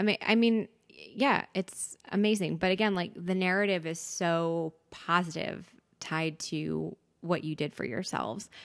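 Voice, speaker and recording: A woman with an American accent speaks in an ordinary speaking voice, fairly low in pitch and fairly slow, against a quiet background. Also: ordinary pitch variation. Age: 30s. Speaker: podcast guest. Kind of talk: casual chat.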